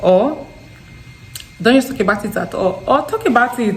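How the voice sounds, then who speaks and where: A woman in an animated tone with a strong Nigerian Delta accent, lively intonation and a moderate pace, over noticeable background noise. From Nigeria, Delta State. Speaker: vlogger. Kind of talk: casual vlog talk. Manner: halting with repetitions.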